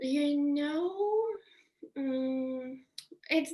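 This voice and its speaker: Against a quiet background, a woman speaks with a Belarusian accent. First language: Russian. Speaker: interviewee. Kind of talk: casual interview. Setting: video call. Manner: halting, many fillers.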